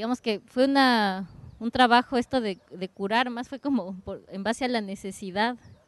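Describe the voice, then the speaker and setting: Dry and close with no echo, a woman with an ordinary speaking voice talks fairly slowly with ordinary pitch variation. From Ecuador. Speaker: dance curator. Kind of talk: roundtable introduction. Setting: open discussion at a cafe.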